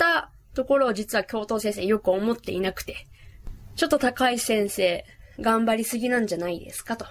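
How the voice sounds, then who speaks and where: Over noticeable background noise, a woman with a fairly high pitch speaks at a fairly quick pace with big swings in loudness. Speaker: podcast host. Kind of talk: casual monologue. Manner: fast.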